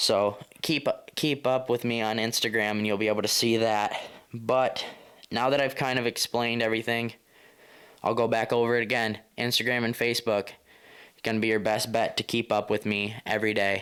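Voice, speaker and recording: The recording is very clean with a silent background. A man speaks at medium pitch and a moderate pace, with monotone, flat intonation and very even loudness. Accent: American. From US Midwest, southern Michigan. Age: young. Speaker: hunting podcaster. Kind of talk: casual monologue podcast. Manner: halting, many repetitions.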